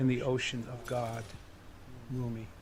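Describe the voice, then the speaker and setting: Somewhat breathy delivery at a fairly slow pace. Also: man. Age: 70s. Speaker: poet. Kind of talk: poetry reading; interview talk. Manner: halting, hesitant.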